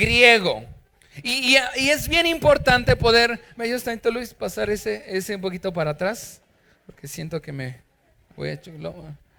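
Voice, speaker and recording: A raised, projected voice sounds bright, sharp and animated, with very wide pitch swings. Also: man, high pitch for a man, moderate pace. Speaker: pastor. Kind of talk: sermon. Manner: loud.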